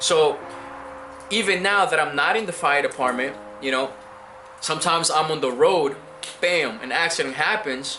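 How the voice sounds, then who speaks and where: A man with a Spanish accent speaks at a moderate pace and a fairly high pitch, with lively intonation and long, frequent pauses. Audible room echo and music in the background fill the recording. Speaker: immigrant, former firefighter. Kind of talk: interview. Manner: hesitant, many fillers and repetitions.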